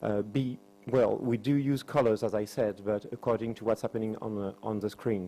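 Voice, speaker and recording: This man speaks with a French accent and a dark, mellow tone at a fairly low pitch. His intonation stays fairly even at a moderate pace. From France. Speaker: university lecturer and subtitler. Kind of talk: conference presentation.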